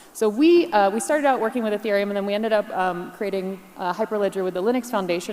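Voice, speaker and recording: A woman talks at a very fast pace with an American accent. Her pitch is medium, with ordinary variation. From US Northeast, New York. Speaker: keynote speaker, blockchain partner at a tech firm. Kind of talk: conference keynote presentation. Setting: stage with audience. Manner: animated.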